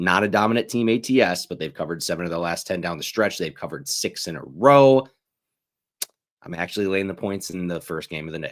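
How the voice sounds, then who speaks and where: Very deep and low in pitch, a man talks very fast with ordinary pitch variation. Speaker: sports betting show host. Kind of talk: casual livestream picks talk. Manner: loud; animated.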